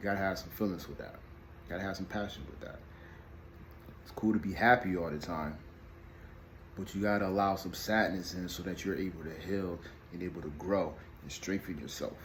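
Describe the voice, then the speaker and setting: Soft-spoken, with a very deep, low pitch, a man talks with fairly even intonation, long, frequent pauses and big swings in loudness, with audible room echo. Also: fairly quick pace. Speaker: video blogger on parenting and emotions. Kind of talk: casual vlog monologue. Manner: mumbling, halting with repetitions.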